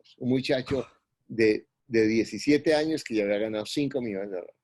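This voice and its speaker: Against a quiet background, a man with an unremarkable speaking voice talks at a moderate pace in a fairly low pitch with lively intonation. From Colombia. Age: 60s. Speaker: real estate investor and mentor. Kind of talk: interview.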